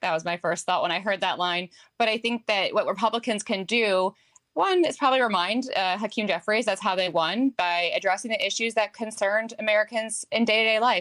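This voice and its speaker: In a very clean recording with a silent background and a dry, close sound with no echo, a woman with a slight New Jersey accent talks at a fairly quick pace, fairly high in pitch with ordinary variation. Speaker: political strategist. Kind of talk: TV news interview answer.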